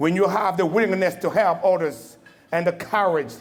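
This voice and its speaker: A man's high voice in a Congolese accent, with ordinary pitch variation and audible room echo. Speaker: Marine veteran, keynote speaker. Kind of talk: formal speech. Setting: banquet hall with audience. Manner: animated.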